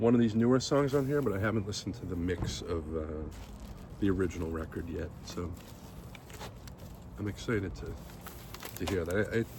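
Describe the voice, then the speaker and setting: A man mumbles at a moderate pace with vocal fry and a fairly low pitch. Audible room echo fills the recording. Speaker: podcast host. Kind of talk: casual unboxing commentary. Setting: outdoors. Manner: mumbling.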